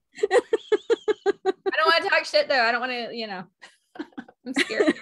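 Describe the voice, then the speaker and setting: A woman with a Texas accent, high in pitch, at a moderate pace, with very wide pitch swings and big swings in loudness. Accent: Texas twang. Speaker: astrologer and tarot reader. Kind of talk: casual chat. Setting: live online video show.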